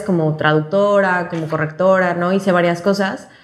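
A woman with a normal speaking voice talks at a fairly slow pace, using fairly even intonation and a fairly low pitch. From Mexico, Cancún. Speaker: youth fiction editor. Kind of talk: casual chat. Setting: office.

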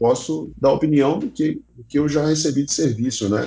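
A man speaks with vocal fry. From Brazil, Belo Horizonte (Minas Gerais). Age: 30s. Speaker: online education company CEO. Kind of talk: interview, casual chat. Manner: hesitant, many fillers and repetitions.

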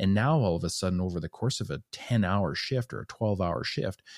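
A man with a Canadian accent speaks at a moderate pace, fairly low in pitch with ordinary pitch variation and an unremarkable speaking voice. The recording is very clean, with a silent background and a dry, close sound with no echo. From northern Alberta, Canada. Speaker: podcast host, retired police officer. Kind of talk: casual interview.

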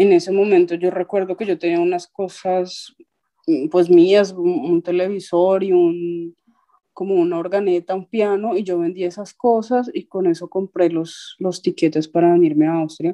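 A woman's medium-pitched voice, dark and mellow in tone, fairly slow, with monotone, flat intonation and a dry, close sound free of echo. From Colombia, Ibagué. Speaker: musician and tram driver. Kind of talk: testimony.

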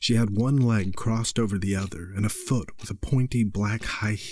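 Reading aloud, plain

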